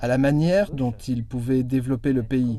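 A dark, mellow tone at a moderate pace. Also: man. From Rwanda. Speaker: auditor and international student. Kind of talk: interview.

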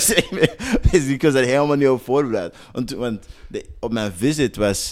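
Man with a normal speaking voice, medium pitch and lively intonation, in a very clean recording with a silent background. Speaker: professional basketball player. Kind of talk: interview.

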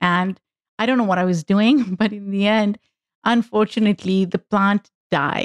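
With a Pakistani accent, a woman talks at a moderate pace in a medium pitch with ordinary pitch variation, the sound dry and close with no echo. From Pakistan, Lahore. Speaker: activist and podcast host. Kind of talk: casual chat.

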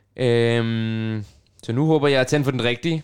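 A man's pitch varies in an ordinary way, and the recording is very clean with a silent background. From Copenhagen, Denmark (Nørrebro). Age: 20s. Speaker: radio host and pianist. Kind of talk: casual chat. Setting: student's room at a music dormitory.

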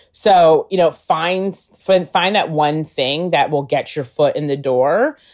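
A woman speaks with a New York State accent and fairly even intonation. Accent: American, New York State. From upstate New York (Albany). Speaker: political communications specialist. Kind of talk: interview conversation.

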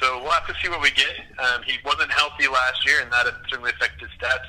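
This man speaks very fast while noticeable noise sits in the background. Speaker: baseball fan and team correspondent. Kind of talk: casual sports chat. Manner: relaxed, conversational, with fillers like uh and um.

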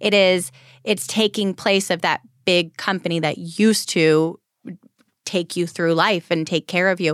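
An ordinary speaking voice moves at a fairly slow pace with fairly even intonation and very even loudness. The sound is dry and close with no echo, on a very clean recording with a silent background. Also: woman, fairly low pitch for a woman. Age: 30s. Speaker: wealth manager and mortgage specialist. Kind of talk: interview. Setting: radio studio.

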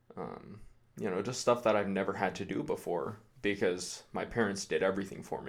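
Using an ordinary speaking voice, a man talks at a fairly quick pace with fairly low pitch and ordinary pitch variation. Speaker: aspiring army recruit. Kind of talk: interview.

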